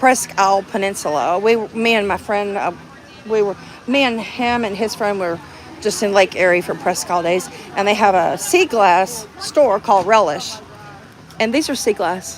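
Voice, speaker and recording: Moderate pace in an American accent, with noticeable background noise. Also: woman, medium pitch for a woman, ordinary pitch variation. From Texas. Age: 60s. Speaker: activist livestreamer. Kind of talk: casual chat. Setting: outdoors. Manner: halting.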